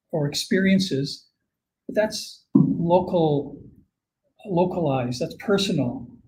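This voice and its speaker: A man's high-pitched voice with a Canadian accent and lively intonation, with audible room echo. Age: 60s. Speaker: climate scientist. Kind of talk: conference Q&A.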